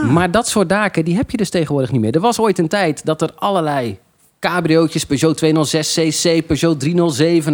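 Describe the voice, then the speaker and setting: A man with an unremarkable speaking voice talks at a moderate pace, his pitch fairly high with ordinary variation. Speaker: car journalist. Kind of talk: casual chat. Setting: bar of a kart track.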